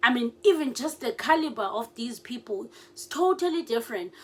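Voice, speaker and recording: Speaking at a fairly quick pace, a woman uses lively intonation. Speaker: political YouTuber. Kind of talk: casual commentary. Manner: halting, hesitant; code-switching.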